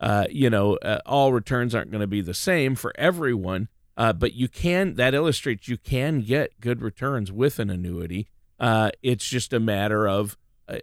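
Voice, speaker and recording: With an American accent, a man in a plain, everyday voice speaks at medium pitch and a moderate pace with lively intonation, in a dry, close sound with no echo on a very clean recording with a silent background. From Minnesota. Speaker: guest co-host of a finance radio show. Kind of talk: casual radio talk.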